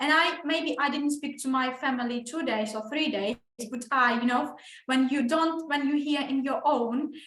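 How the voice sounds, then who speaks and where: With a Ukrainian accent, a woman speaks at a moderate pace in a high pitch with fairly even intonation, and the room echo is audible. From Ukraine. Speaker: English teacher. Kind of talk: casual chat with students. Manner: halting, many restarts.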